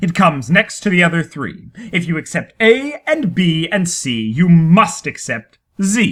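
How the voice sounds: In a put-on character voice, a woman speaks at a fairly slow pace with a fairly bright tone, a fairly low pitch and big pitch swings.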